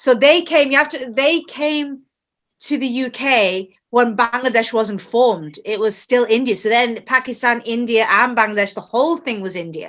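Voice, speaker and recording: A woman with a British accent, high-pitched, with lively intonation at a moderate pace, on a very clean recording with a silent background. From England. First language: Bengali. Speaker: author. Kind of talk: interview.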